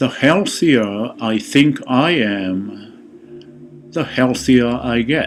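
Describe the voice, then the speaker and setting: Over noticeable background noise, a man speaks at medium pitch. He talks at a very slow pace with lively intonation. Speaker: meditation guide. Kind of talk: guided meditation. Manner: slow, soothing.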